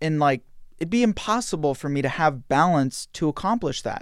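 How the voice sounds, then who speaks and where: A man with a plain, everyday voice talks with a fairly high pitch and lively intonation on a very clean recording with a silent background. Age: young. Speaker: podcast host. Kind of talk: interview conversation.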